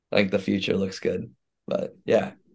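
A man with an American accent talks at a fairly quick pace in a very deep, dark, mellow voice with vocal fry and fairly even intonation. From Houston, Texas. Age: 20s. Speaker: college football player. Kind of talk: personal testimony.

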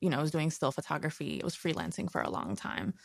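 A woman with an American accent speaks at a very deep, low pitch with vocal fry. The recording is very clean, with a silent background. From Queens, New York. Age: 30s. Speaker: documentary filmmaker. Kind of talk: casual interview.

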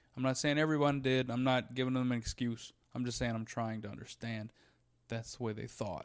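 A man speaks in an American accent at a medium pitch and a fairly quick pace, with monotone, flat intonation. The recording is very clean, with a silent background. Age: 20s. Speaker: stand-up comedian. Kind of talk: casual chat. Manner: distinctive cadence.

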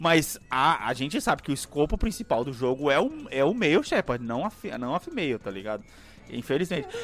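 An animated man at a moderate pace, fairly high in pitch with very wide pitch swings, and music in the background. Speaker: podcast co-host. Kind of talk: casual chat.

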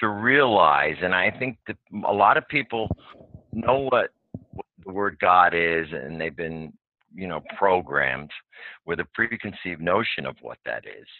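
The intonation is lively. The pace is fairly slow. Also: man, very deep, low pitch for a man, big swings in loudness. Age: 60s. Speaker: spiritual seeker. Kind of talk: casual chat. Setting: phone call. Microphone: phone line.

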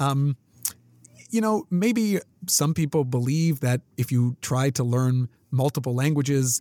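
Recorded with a dry, close sound and no echo, the voice has a dark, mellow tone and a Canadian accent. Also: man. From Canada. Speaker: podcast host, instructor and researcher. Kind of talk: interview. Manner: clearly enunciated.

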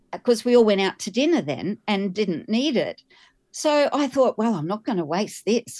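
A woman with an Australian accent speaks at a moderate pace and fairly high pitch, with vocal fry and very wide pitch swings, in a dry, close sound with no echo and a quiet background. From Australia, Queensland. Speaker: pilgrim, energy healer. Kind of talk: interview.

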